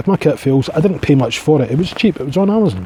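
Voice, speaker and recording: A man with a strong Scottish accent talks at a very fast pace, fairly high in pitch. His intonation is lively, and there is noticeable background noise. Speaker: outdoors vlogger. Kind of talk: casual vlog monologue. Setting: outdoors in a forest at night. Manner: rambling casual.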